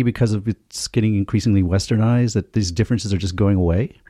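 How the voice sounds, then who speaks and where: With an American accent, a man speaks very fast in a dark, mellow tone at a fairly low pitch. The sound is dry and close with no echo, on a very clean recording with a silent background. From United States. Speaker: podcast panelist. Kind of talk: casual chat. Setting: studio.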